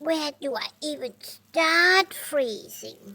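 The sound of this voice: A cartoonish character voice, high-pitched, at a very slow pace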